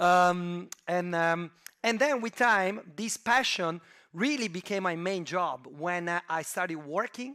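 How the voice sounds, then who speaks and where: In a very clean recording with a silent background, a man with a slight Italian accent speaks very slowly at a high pitch, with a bright, sharp tone and ordinary pitch variation. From Italy, Turin. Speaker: venture capital investor. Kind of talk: conference talk. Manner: hesitant, many fillers.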